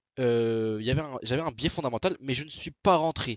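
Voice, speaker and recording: Intonation here is lively. The pace is fairly quick. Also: man. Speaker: forex trader vlogger. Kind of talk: trading video diary with chart analysis. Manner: fast; halting, many fillers and restarts.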